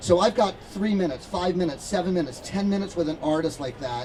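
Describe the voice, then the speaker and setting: A very fast, animated delivery in an American accent over noticeable background noise. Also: man. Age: 60s. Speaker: concert photographer. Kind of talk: storytelling Q&A talk. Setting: stage with audience.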